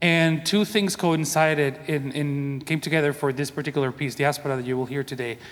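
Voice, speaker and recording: With a Spanish accent, a man talks at a fairly quick pace with hardly any pauses, using fairly even intonation and a fairly high pitch. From Venezuela. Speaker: composer. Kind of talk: conference panel talk.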